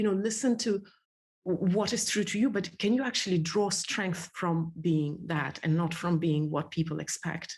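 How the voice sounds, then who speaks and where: A woman speaks at a moderate pace in a medium pitch. Her voice is somewhat breathy. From Soviet Union. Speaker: entrepreneur and speaker. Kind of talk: interview conversation. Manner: halting.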